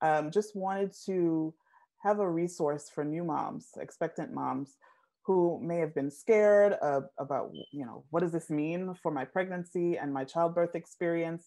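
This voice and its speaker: A woman talks at a fairly slow pace in a dark, mellow tone and fairly low pitch. Her pitch varies in an ordinary way over a quiet background. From Jamaica. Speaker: nurse and maternal health advocate. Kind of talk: interview answer. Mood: warm, engaged. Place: home room. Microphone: earbuds.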